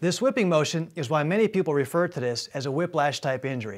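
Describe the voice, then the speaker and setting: On a very clean recording with a silent background, a man has an unremarkable speaking voice with a fairly high pitch. He talks at a moderate pace with ordinary pitch variation. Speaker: chiropractor. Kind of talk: infomercial presentation explaining spine models and x-rays.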